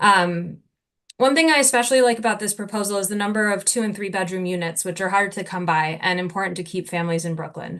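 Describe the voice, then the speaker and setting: A woman's medium-pitched voice with an American accent, very fast pace, ordinary pitch variation, and a quiet background. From New Jersey. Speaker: local resident speaking at public hearing. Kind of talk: public comment.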